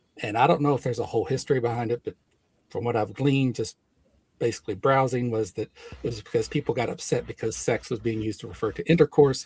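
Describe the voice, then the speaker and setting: A man's somewhat breathy, medium-pitched voice at a very fast pace, with ordinary pitch variation and a dry, close sound with no echo. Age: 60s. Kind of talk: heated debate.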